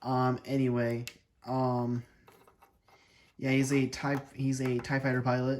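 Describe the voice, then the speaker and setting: A man's voice at a medium pitch. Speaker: toy reviewer. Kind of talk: product review. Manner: energetic, with filler words.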